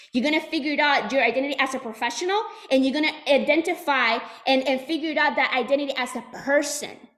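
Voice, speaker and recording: A woman speaks at a high pitch. Her tone is animated. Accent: Puerto Rican. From Puerto Rico. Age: 20s. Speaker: sales trainer. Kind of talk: motivational talk.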